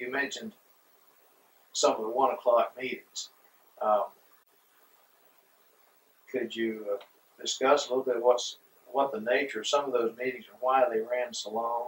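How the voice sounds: A man talks at medium pitch with a slightly husky edge and fairly even intonation. His pace is fairly slow, broken by long, frequent pauses.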